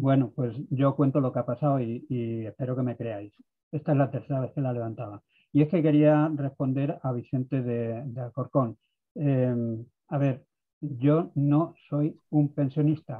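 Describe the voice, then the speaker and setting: A man with a plain, everyday voice talks at a fairly slow pace in medium pitch with fairly even intonation. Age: 60s. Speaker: participant in pensioner activist meeting. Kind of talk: video conference discussion. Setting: video call.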